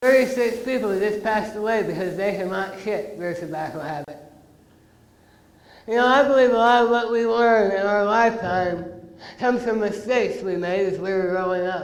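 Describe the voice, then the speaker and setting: Recorded with audible room echo and noticeable background noise, a man with an American accent speaks in a high pitch with ordinary pitch variation. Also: moderate pace. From rural Illinois. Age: 30s. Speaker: oral cancer survivor, anti-tobacco speaker. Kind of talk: motivational talk to students. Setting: auditorium with audience and PA.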